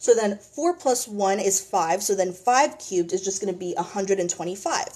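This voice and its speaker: A plain, everyday voice, a woman at medium pitch, fairly quick with lively intonation. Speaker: math tutor. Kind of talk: tutorial.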